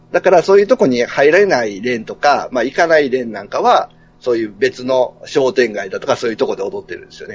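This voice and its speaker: At a very fast pace, a man talks with hardly any pauses. His volume rises and drops in big swings. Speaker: podcaster guest. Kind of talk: casual chat.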